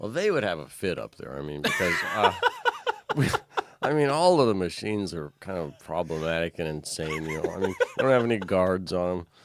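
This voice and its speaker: A man with an American accent talks in a very deep, low voice with lively intonation. He moves at a fairly quick pace over noticeable background noise. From Oregon. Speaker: logger. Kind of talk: podcast interview conversation.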